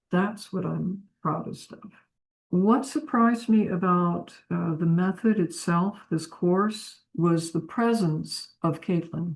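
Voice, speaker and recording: A woman speaks at a very slow pace in a fairly low, somewhat breathy voice. Her pitch varies in an ordinary way. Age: 60s. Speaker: psychotherapist, piano student giving a review. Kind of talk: testimonial interview. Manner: halting, with repetitions and fillers.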